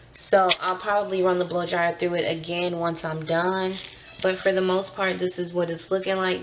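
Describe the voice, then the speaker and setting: Amid audible room echo and noticeable background noise, a woman speaks at a moderate pace and medium pitch. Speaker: beauty vlogger. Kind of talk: casual vlog. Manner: hesitant, many fillers.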